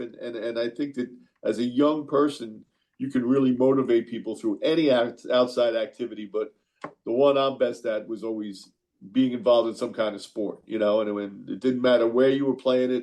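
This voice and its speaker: A man speaks with a New York accent at a medium pitch. His pace is fairly quick and his intonation fairly even. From New York (Queens). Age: 60s. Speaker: college basketball coach. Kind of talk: radio interview.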